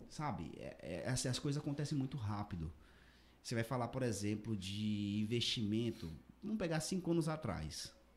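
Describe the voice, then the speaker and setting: The pitch of this man's voice swings very widely. His voice is somewhat breathy. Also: medium pitch for a man, moderate pace. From Tocantins, Brazil (Araguaína). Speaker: finance professional. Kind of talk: casual chat. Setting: studio.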